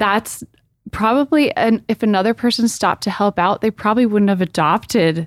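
A woman with a plain, everyday voice speaks at a moderate pace, fairly high in pitch with ordinary pitch variation. Her loudness stays very even, and the sound is dry and close with no echo. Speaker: podcast co-host.

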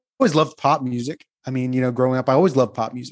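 A man with a fairly high pitch and an American accent has a plain, everyday voice. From New Jersey, near Atlantic City. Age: 50s. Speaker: bassist. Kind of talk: casual interview.

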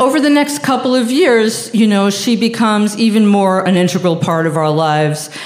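In a New York accent, a woman talks at a moderate pace. The room echo is audible. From Long Island, New York. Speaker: storyteller. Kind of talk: live storytelling.

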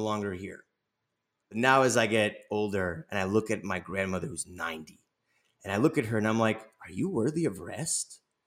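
A man with an American accent and an ordinary speaking voice talks at a moderate pace on a very clean recording with a silent background. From Los Angeles, US. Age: 30s. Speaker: nonprofit founder. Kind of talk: interview.

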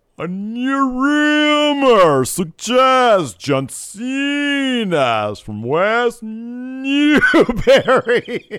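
Putting on a character voice, a man speaks at an extremely high pitch and a very slow pace with hardly any pauses, on a very clean recording with a silent background. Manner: announcer.

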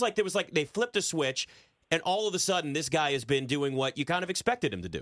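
A man's fairly high voice at a very fast pace with lively intonation. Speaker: sports betting radio host. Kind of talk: casual sports talk.

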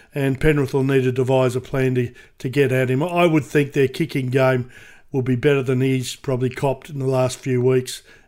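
A man with an Australian accent speaks fairly quickly in a flat monotone, recorded very cleanly against a silent background. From Queensland, Australia. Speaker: sports radio personality, podcast co-host. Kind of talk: casual chat. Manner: halting, repeats words.

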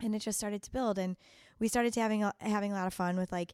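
Speaking with a Chicago accent, a woman keeps her intonation fairly even. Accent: Chicago accent, noticed by herself. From US Midwest, Chicago. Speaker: chef. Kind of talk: casual interview. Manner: hesitant, many ums.

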